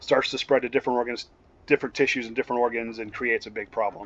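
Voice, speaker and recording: The intonation is monotone and flat. The sound is dry and close with no echo. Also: man. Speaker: EMS instructor. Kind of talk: lecture. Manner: fast.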